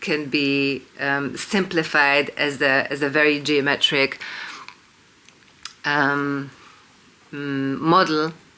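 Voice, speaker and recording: The speaker has a Hungarian accent and talks at a very slow pace. Long pauses come often. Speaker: independent researcher and video lecturer. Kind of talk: monologue lecture to camera. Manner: hesitant, many fillers (um, uh).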